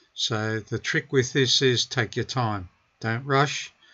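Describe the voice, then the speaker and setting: With an Australian accent, a man speaks at a very slow pace. His intonation stays fairly even. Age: 70s. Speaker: car DIY hobbyist. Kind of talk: tutorial.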